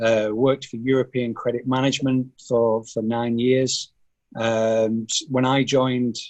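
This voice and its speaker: A man at a medium pitch, monotone and flat, at a fairly slow pace. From northern England, Burnley, Lancashire. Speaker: finance executive. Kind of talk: podcast interview. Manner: hesitant, many fillers.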